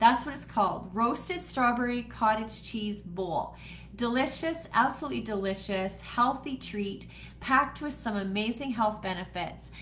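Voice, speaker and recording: Vocal fry runs through this woman's speech, delivered with a Canadian accent amid audible room echo. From Canada (Manitoba). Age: 60s. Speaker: home cooking host and wellness seller. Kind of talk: live cooking demo chat. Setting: home office, livestream. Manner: casual, with frequent fillers.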